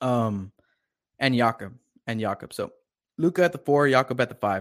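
Spoken with an American accent, this very clean recording has a silent background. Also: man. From Texas. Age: 30s. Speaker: sports podcast host. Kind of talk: live-stream sports talk show. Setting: live video stream. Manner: animated.

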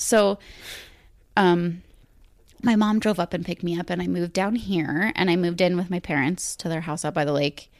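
Pausing long and often, a woman with a fairly low voice speaks with ordinary pitch variation in a very clean recording with a silent background. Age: 20s. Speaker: podcast guest, mother and student. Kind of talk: casual chat. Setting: home recording with USB microphone. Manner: fast.

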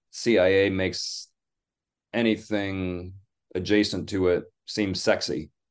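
A man with a Midwestern US accent, fairly low-pitched, at a very slow pace over a quiet background. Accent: General American, Midwestern. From US Midwest (Michigan). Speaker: English professor and author. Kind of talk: interview.

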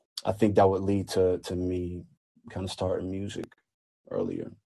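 Here a man with an American accent speaks at a moderate pace and fairly low pitch. His tone is dark and mellow, and somewhat breathy. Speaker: recording artist. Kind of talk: casual interview. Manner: casual, relaxed.

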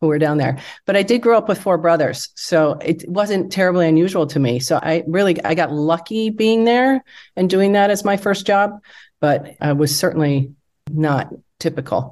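A woman with an American accent uses an ordinary speaking voice at a moderate pace, with a fairly low pitch and lively intonation, against a quiet background. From US Midwest, Wisconsin. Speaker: business founder. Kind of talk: interview.

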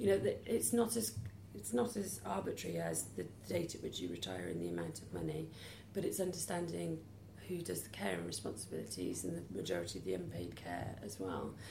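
There's audible room echo as a woman speaks with a South Wales accent. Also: fairly quick pace. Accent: Welsh (south Wales). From Wales, near Cardiff. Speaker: charity chief executive. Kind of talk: interview.

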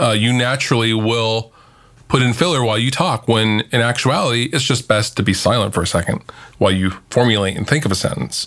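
An unremarkable speaking voice from a man, medium in pitch, at a fairly quick pace with ordinary pitch variation. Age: 30s. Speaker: YouTuber and guitarist. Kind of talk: casual chat.

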